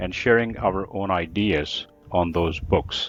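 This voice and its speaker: This man speaks with an American accent and lively intonation. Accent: American-sounding English. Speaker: English teacher and accent trainer. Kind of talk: book discussion interview.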